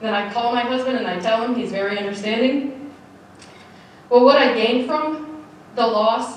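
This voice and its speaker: A woman talks at a moderate pace in a fairly high pitch with ordinary pitch variation, with audible room echo and noticeable background noise. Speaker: army officer and veteran. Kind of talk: personal testimony speech.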